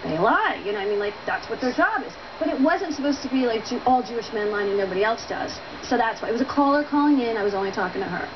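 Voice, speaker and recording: Very fast talking over noticeable background noise. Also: woman. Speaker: talk show guest. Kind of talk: interview answer. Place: studio. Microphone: lapel.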